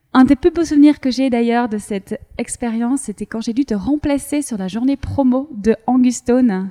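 At a moderate pace and with hardly any pauses, a woman with a high pitch and a dark, mellow tone speaks with ordinary pitch variation, the sound dry and close with no echo. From Belgium. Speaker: podcast host. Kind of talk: podcast interview.

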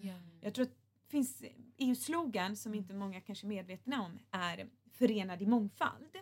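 At a moderate pace, a woman with a medium-pitched, somewhat breathy voice speaks with ordinary pitch variation and big swings in loudness. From Gothenburg, Sweden. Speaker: politician. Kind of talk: podcast interview.

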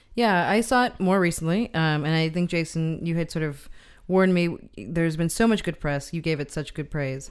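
In a very clean recording with a silent background, a woman speaks in a plain, everyday voice with a fairly low pitch, ordinary pitch variation, and a moderate pace. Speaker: film podcast co-host. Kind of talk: casual chat.

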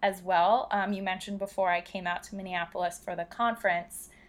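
A woman with an American accent has an ordinary speaking voice at medium pitch and a moderate pace. The recording is very clean, with a silent background. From US Northeast, Philadelphia. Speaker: travel blogger. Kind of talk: casual interview.

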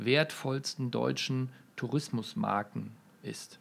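With fairly even intonation, a man talks very slowly. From Münster, North Rhine-Westphalia, Germany. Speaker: brand management executive. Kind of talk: podcast interview. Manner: frequent filler hesitations.

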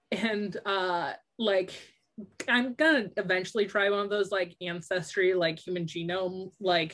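A woman with a normal speaking voice talks at a fairly slow pace in a medium pitch, with ordinary pitch variation and a quiet background. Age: 30s. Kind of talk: podcast interview. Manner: many fillers (um, like).

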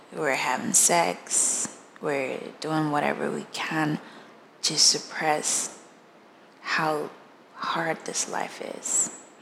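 A woman's very deep, low voice at a very slow pace, broken by long, frequent pauses, over noticeable background noise. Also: ordinary pitch variation. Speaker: podcast host. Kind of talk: personal testimony monologue. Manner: halting, repeating and trailing off; quiet, low voice.

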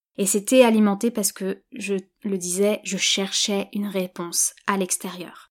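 The pace is fairly slow, with flat, monotone intonation. The recording is very clean, with a silent background. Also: woman, medium pitch for a woman. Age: 30s. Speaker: yoga teacher and podcast host. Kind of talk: solo podcast monologue. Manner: hesitant, with fillers and repetitions.

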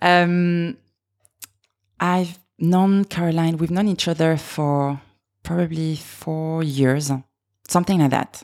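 In a very clean recording with a silent background, a woman speaks at a fairly low pitch with a slight French accent and fairly even intonation. Her pace is very slow, with long, frequent pauses. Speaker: podcast host, makeup artist. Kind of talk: scripted podcast intro; casual interview chat.

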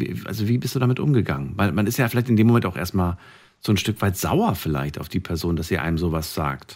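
Here a man talks at a very fast pace. His pitch varies in an ordinary way. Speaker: radio host. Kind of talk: late-night call-in radio show. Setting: studio.

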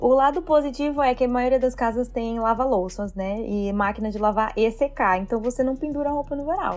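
A woman with a normal speaking voice talks at a moderate pace, and her pitch shifts in an ordinary way. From Brazil, interior of São Paulo state. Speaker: Brazilian immigrant in Canada. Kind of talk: casual chat.

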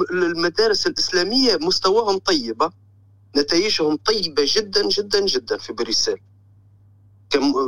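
A man with a Tunisian accent talks at a fairly slow pace with a high pitch and lively intonation, in a dry, close sound with no echo. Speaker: caller, postal worker living in Belgium. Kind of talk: phone-in call.

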